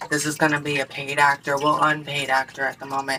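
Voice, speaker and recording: Amid noticeable background noise, a woman speaks at a very deep, low pitch. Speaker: vlogger. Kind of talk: casual chat. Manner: halting.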